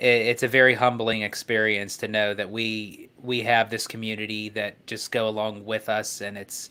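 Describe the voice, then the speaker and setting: Speaking in a Pittsburgh accent, a man talks at a moderate pace with hardly any pauses, his pitch fairly low. His intonation is monotone and flat, and his tone is bright and sharp. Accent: Pittsburgh accent, noticeable. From Pittsburgh, US. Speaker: panelist. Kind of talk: casual chat. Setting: live stream.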